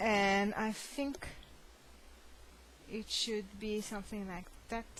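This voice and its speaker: At a very slow pace, a woman with a non-native accent speaks at medium pitch amid audible room echo. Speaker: crochet hobbyist. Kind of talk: casual show-and-tell tutorial. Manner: halting, many fillers.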